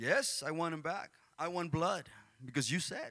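A man talks in an animated tone, his high-pitched voice bright and sharp. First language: Spanish. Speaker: pastor. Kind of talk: sermon. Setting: church.

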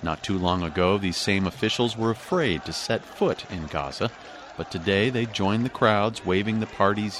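The voice shows ordinary pitch variation, with noticeable background noise. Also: man. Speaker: foreign correspondent. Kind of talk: news reading, scripted radio report. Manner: formal, steady, measured.

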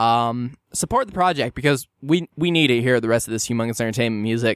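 Very wide pitch swings stand out as a man speaks at a moderate pace, in a very clean recording with a silent background and a dry, close sound with no echo. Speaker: podcast host. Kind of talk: solo podcast monologue, casual. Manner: halting, filler words.

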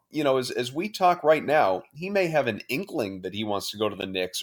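A man with an American accent talks at a moderate pace in an ordinary speaking voice, his pitch varying in the usual way, on a very clean recording with a silent background. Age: 30s. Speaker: sports radio anchor. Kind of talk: casual interview.

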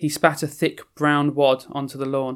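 With a South London accent, a man talks at a fairly high pitch on a very clean recording with a silent background. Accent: South London, moved out later, moderate. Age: 30s. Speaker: aspiring novelist, former teacher. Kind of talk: casual interview with a reading aloud of fiction. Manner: hesitant, filler words.

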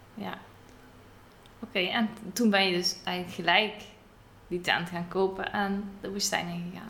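A woman's medium-pitched, monotone, flat voice at a moderate pace, with long, frequent pauses and noticeable background noise. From Netherlands. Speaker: podcast host and travelling cook. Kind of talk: interview. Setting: recorded in a house in Greece.

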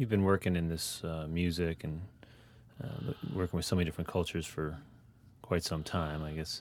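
With a very deep, low pitch, a man speaks at a fairly quick pace with ordinary pitch variation and long, frequent pauses. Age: 30s. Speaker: folklorist. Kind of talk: interview. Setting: recording booth.

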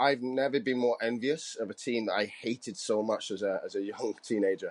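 With a Cardiff accent, a man talks at a moderate pace in a medium pitch. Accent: Welsh (Cardiff). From Wales, Cardiff. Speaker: football coach and author. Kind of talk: casual interview.

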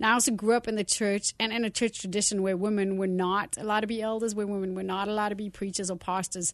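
A woman at a medium pitch with a South African accent, against a quiet background. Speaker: youth ministry leader. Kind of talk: casual interview. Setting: studio.

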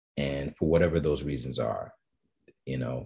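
In a New York accent, the speaker uses vocal fry and fairly even intonation against a quiet background. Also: man. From New York, the Bronx. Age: 40s. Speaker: photographer. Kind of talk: interview. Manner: halting.

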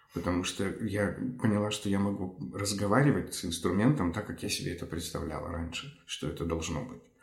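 With noticeable background noise behind him, a man speaks at a moderate pace in a fairly low voice with ordinary pitch variation. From Ukraine. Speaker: violinist and conductor. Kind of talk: interview discussion of music. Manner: hesitant, filler words.

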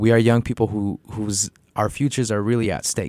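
A man with a plain, everyday voice and fairly low pitch speaks with fairly even intonation in a dry, close sound with no echo and a very clean recording, silent background. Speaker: hip-hop artist and youth climate activist. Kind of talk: radio interview.

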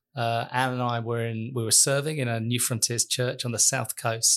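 Recorded very cleanly against a silent background, a man with an ordinary speaking voice talks at a medium pitch and a moderate pace. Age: 50s. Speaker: church network leader. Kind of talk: casual chat.

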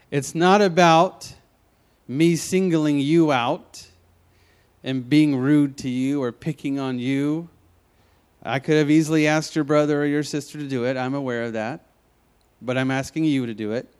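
A man speaks at a moderate pace in a fairly high pitch, with long, frequent pauses. The background is quiet. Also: fairly even intonation. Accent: Southern US. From US South, Memphis, Tennessee. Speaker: pastor. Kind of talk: sermon. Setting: church. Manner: halting.

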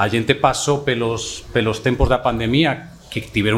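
His voice is somewhat breathy and medium in pitch. The man keeps his intonation fairly even. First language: Spanish (speaking Portuguese). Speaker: market research executive. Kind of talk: panel discussion.

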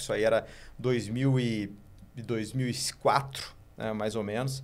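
This man speaks in a southern Brazilian accent. His pitch is medium and his intonation fairly even. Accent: southern Brazilian (gaúcho) Portuguese. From Rio Grande do Sul, Santa Maria. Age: 30s. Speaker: investment firm co-founder. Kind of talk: interview.

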